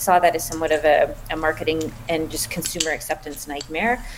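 A woman speaks with a Canadian accent in a fairly low pitch. Noticeable background noise runs underneath. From Canada. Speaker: startup founder and scientist. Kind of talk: interview.

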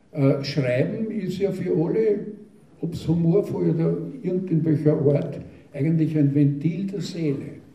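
Audible room echo surrounds a man's fairly high voice. He talks at a fairly slow pace. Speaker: dialect poet. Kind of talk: talk and poetry reading.

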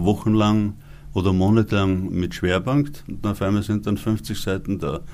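At a fairly slow pace, a man with an unremarkable speaking voice talks at a fairly low pitch. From Upper Austria. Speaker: author and actor. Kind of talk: interview.

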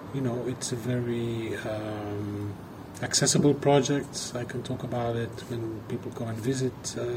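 A man's monotone, flat delivery at medium pitch, amid audible room echo and noticeable background noise. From Belgium. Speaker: artist. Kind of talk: recorded audio message.

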